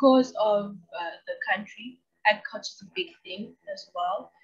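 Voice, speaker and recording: The backdrop stays quiet. Her speech moves at a fairly slow pace, and the speaker is a woman. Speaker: video channel host. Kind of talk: educational monologue. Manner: enthusiastic. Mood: casual, light humour. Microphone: webcam.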